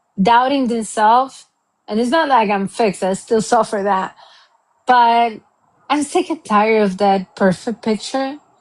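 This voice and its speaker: In a Cuban accent, a woman with a fairly high pitch speaks at a fairly slow pace with ordinary pitch variation. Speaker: accountant. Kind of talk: interview.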